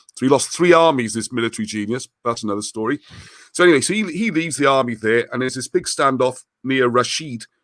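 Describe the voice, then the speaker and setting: Here a man talks at a very fast pace with lively intonation and a medium pitch. The recording is very clean, with a silent background. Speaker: historian and author. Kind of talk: podcast interview, casual chat.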